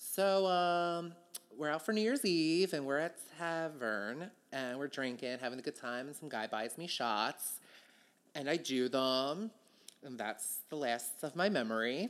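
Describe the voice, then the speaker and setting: The speaker talks at a fairly slow pace in an American accent. The recording is very clean, with a silent background. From Philadelphia, US. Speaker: drag queen comedian. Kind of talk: casual interview banter. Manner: high energy, irreverent.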